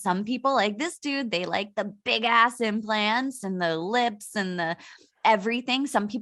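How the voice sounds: Quiet surroundings behind a natural reading voice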